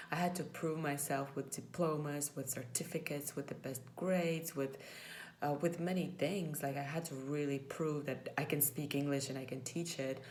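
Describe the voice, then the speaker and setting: A woman's very deep, low voice in a Latvian accent, fairly even in intonation, at a moderate pace, with audible room echo. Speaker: former English teacher, vlogger. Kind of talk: personal vlog reflection. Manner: hesitant, many fillers.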